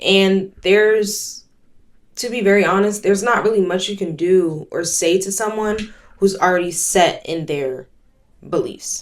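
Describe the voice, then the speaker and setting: A woman's fairly slow, animated delivery in an American accent, with ordinary pitch variation. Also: medium pitch for a woman. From New Jersey. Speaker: makeup artist. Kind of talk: casual chat.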